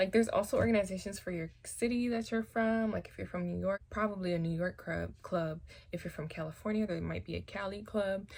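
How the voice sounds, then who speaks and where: Soft-spoken, a woman talks at a fairly quick pace. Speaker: hairstylist. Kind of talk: casual talk to camera.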